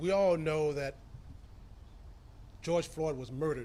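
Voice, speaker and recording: A man's fairly high-pitched, dark and mellow voice with an American accent and fairly even intonation, plus audible room echo. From US South, Tampa, Florida. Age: 60s. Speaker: county commission chairman. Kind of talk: press conference statement.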